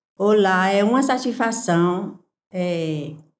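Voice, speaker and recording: A woman of medium pitch at a very slow pace, with audible room echo. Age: 60s. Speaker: small business owner. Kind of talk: interview.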